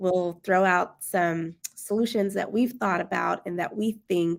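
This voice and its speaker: With an American accent and an ordinary speaking voice, a woman speaks at a medium pitch and a fairly slow pace, her intonation fairly even. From Maryland, Prince George's County. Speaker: education company founder. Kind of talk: casual discussion livestream.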